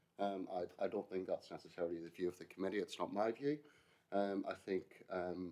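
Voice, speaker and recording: A man speaks very fast in a dark, mellow tone. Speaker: committee member. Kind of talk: committee debate.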